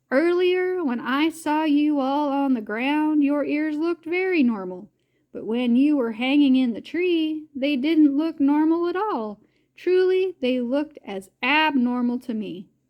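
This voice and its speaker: A woman's drawling put-on character voice, high in pitch, with lively intonation at a fairly slow pace. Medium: read story. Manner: slow drawl.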